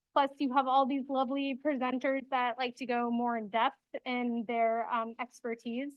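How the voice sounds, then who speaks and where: Here a woman speaks loudly at a high pitch and moderate pace. Her intonation is monotone, flat. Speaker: city sustainability staff presenter. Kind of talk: presentation.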